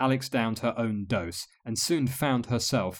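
Someone is heard reading aloud in a natural voice.

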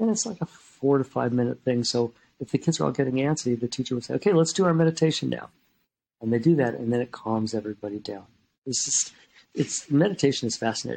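Talking at a very fast pace, a man with a medium pitch uses lively intonation and a dark, mellow tone. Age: 70s. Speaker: psychologist. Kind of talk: interview.

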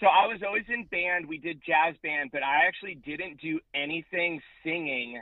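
A man with a high pitch, ordinary pitch variation and a moderate pace. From US West Coast, San Diego, California. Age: 30s. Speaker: metal band musician. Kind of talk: casual interview chat. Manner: casual.

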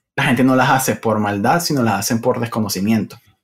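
Ordinary pitch variation in a man's plain, everyday voice, medium in pitch. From Venezuela. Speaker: Android developer. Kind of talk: casual interview.

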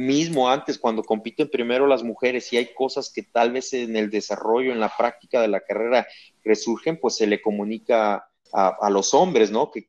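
Against a quiet background, a man with an unremarkable speaking voice talks at a moderate pace, with medium pitch and ordinary pitch variation. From Guadalajara, Mexico. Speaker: olympic triathlete and coach. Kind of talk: interview.

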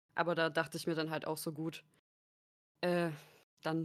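Her pitch is very deep and low, her intonation monotone and flat. The woman speaks at a moderate pace on a very clean recording with a silent background. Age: 20s. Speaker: content creator and sociology student. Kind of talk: casual chat.

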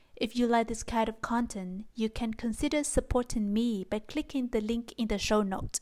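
A woman with a plain, everyday voice and a fairly high pitch talks at a moderate pace with hardly any pauses and fairly even intonation. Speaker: language teacher podcast host. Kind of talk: scripted narration.

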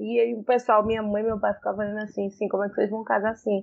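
The speaker is a woman with a medium pitch. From Pernambuco, Brazil. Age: 20s. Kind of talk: casual chat.

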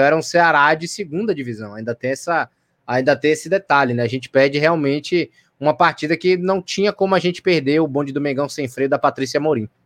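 A man with a fairly high voice talks very fast with lively intonation, in a dry, close sound with no echo over a quiet background. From Bahia, Brazil (Salvador). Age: 20s. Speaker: football podcast co-host. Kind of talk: casual chat.

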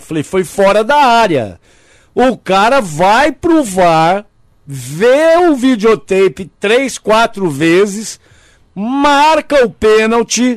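A man talks in a high pitch. His pitch swings very widely. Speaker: radio host. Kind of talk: casual radio chat.

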